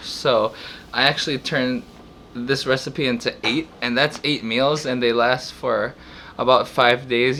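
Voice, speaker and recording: A man mumbling in a bright, sharp tone. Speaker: home cook, meal prep video host. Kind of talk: casual cooking talk to camera. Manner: hesitant, stuttering, mumbling.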